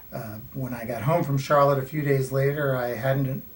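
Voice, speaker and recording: Over noticeable background noise and audible room echo, the speaker goes at a fairly quick pace in a monotone, flat intonation. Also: man. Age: 60s. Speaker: patient giving testimonial. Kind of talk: testimony. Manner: hesitant with fillers.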